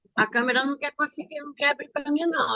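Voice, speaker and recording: A high-pitched woman at a fairly quick pace, with a dry, close sound and no echo. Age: 70s. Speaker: church member giving testimony. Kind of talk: testimony.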